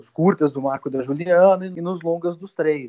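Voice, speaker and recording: Moderate pace from a man with a plain, everyday voice. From southern Brazil (Rio Grande do Sul). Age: 40s. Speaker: film director. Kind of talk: interview.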